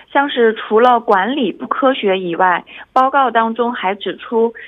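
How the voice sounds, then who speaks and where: A woman speaks in a normal speaking voice, fairly high-pitched and fairly slow, with lively intonation. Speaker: reporter. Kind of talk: radio report. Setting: phone call.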